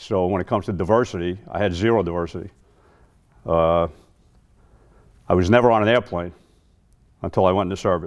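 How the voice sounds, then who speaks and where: A man with a very deep, low pitch and a New York accent, speaking very fast with fairly even intonation and long, frequent pauses, on a very clean recording with a silent background. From New York City, Queens. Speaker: Vietnam-era army veteran, keynote speaker. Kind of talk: memorial speech, personal testimony.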